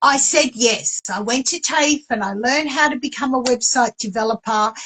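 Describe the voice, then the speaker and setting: With an Australian accent, a woman speaks at a moderate pace in a high pitch with ordinary variation and a bright, sharp tone. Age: 60s. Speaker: author and publisher. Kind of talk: interview.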